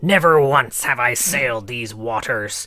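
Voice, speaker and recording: At a moderate pace, a man performs a put-on character voice. His pitch sits in the medium range. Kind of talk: pirate-style storytelling.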